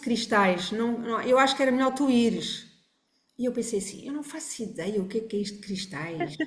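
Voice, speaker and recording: There is audible room echo as a woman speaks at a fairly quick pace. Her pitch is fairly high, with ordinary pitch variation. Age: 60s. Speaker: family constellation therapist. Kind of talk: podcast interview. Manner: halting.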